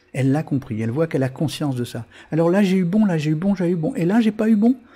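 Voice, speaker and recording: Very fast speech in a dark, mellow tone, on a very clean recording with a silent background. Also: man. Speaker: web TV host and karmic numerology coach. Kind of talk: live-streamed talk answering chat. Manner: hesitant with many fillers and repetitions.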